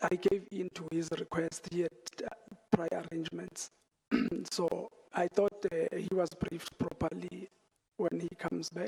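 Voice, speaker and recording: The speaker talks quietly at a moderate pace, with long, frequent pauses. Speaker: witness at inquiry. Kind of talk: testimony. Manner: halting.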